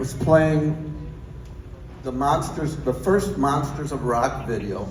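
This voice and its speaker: Noticeable background noise and audible room echo surround a man talking at a fairly slow pace with a fairly high pitch. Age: 60s. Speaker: guitar maker. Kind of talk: acceptance speech. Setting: stage with audience.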